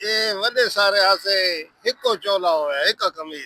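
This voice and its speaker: Raised and projected, a man's voice carries a bright, sharp tone in a dry, close recording with no echo. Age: old. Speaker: village elder. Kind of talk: casual interview.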